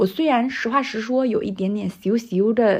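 A woman's ordinary speaking voice, fairly high in pitch, over a quiet background. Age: 20s. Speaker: podcast host. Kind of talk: reading aloud a personal letter.

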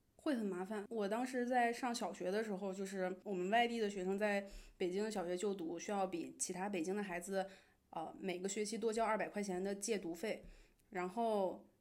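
The room echo is audible as a woman speaks at a moderate pace. Her medium pitch holds a fairly even intonation. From Beijing, China (Henan family roots). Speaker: internet industry employee. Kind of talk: casual chat.

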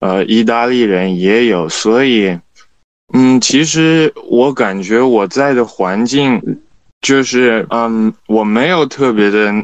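Medium-pitched male speech, its pitch varying in an ordinary way. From China. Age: young. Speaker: student. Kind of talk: casual chat. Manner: halting, many fillers.

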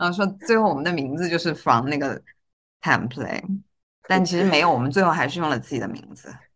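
Talking at a very fast pace, a woman with a fairly low pitch shows lively intonation and big swings in loudness. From Guizhou, China. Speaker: podcast co-host. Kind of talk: casual chat.

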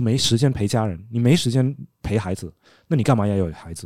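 Speaking at a fairly quick pace, a man with a dark, mellow tone uses lively intonation on a very clean recording with a silent background. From Denmark, Chinese immigrant family. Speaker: former dating reality show contestant. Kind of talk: casual chat.

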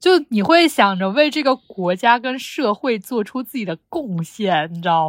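Speaking at a medium pitch and a fairly slow pace, a woman sounds animated, with very wide pitch swings and big swings in loudness. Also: hardly any pauses, dry, close sound with no echo. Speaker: podcast co-host, graduate student researcher. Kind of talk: casual chat.

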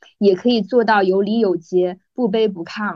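Speaking at a fairly slow pace, a woman has a plain, everyday voice with fairly high pitch. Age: 30s. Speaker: podcast host, former flight attendant, journalist. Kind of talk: casual chat.

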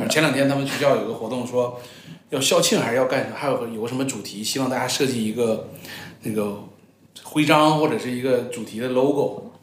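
In a room with audible echo and noticeable background noise, a man talks at a medium pitch and a fairly quick pace with ordinary pitch variation. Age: 30s. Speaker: corporate strategy executive, former venture capitalist. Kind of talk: casual interview chat.

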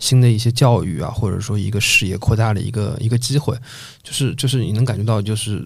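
A somewhat breathy man speaks at a fairly quick pace. His intonation stays fairly even. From Shanghai (Changning district). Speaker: podcast host. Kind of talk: casual chat.

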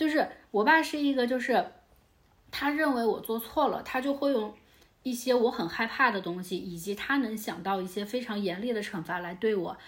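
A woman speaks at a moderate pace with lively intonation. Hers is an unremarkable speaking voice. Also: fairly high pitch for a woman. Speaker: guest, friend of host. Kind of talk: casual chat.

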